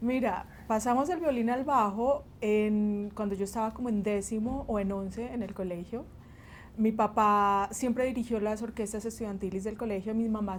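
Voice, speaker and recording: Fairly even intonation from a woman at a moderate pace, her pitch fairly high. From Colombia, Huila (Pitalito), born in Barranquilla. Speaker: bassist and music teacher. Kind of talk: interview.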